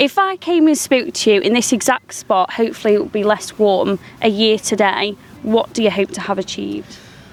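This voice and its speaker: Over noticeable background noise, a woman talks at a fairly quick pace in an upbeat tone with lively intonation. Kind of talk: podcast host interview. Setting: outdoors. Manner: chatty, upbeat.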